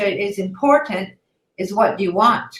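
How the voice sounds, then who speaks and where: A woman speaks at a moderate pace with a fairly high pitch. She has a normal speaking voice. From Canada. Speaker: online ESL teacher. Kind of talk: casual chat.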